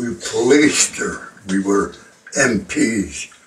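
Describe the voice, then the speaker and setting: A man talks with a Canadian accent and ordinary pitch variation. Noticeable background noise is present. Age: 90s. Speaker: war veteran. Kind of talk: interview.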